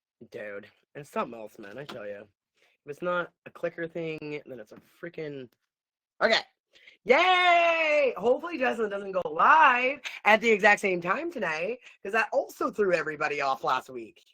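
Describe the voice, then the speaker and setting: Animated and bright with a sharp tone, a woman at medium pitch speaks at a moderate pace, with very wide pitch swings, big swings in loudness and long, frequent pauses. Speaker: online coach. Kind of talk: livestream. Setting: live video stream.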